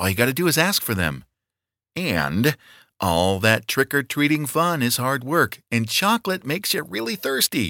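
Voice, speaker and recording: Bright, sharp speech with vocal fry and very wide pitch swings at a moderate pace, dry and close with no echo, on a very clean recording with a silent background. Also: man, medium pitch for a man. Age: 50s. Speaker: podcast co-host. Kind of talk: reading aloud.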